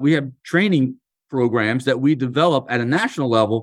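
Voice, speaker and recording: Over a quiet background, a man with a medium-pitched, a normal speaking voice talks at a moderate pace with ordinary pitch variation. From US Northeast, Philadelphia. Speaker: union leader. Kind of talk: interview.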